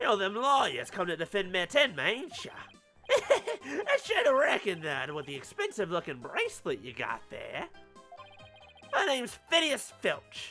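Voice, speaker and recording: Over clear background music, a put-on character voice with fairly high pitch talks at a moderate pace. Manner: suspicious, gruff.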